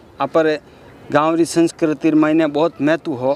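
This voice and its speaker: A man's fairly high voice stays monotone and flat, recorded with a dry, close sound and no echo. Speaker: interviewer. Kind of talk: interview questions.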